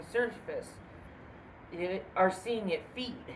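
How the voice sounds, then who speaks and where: Mumbling at a moderate pace, a woman is heard amid audible room echo and noticeable background noise. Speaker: cryptid video host. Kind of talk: casual storytelling. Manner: halting.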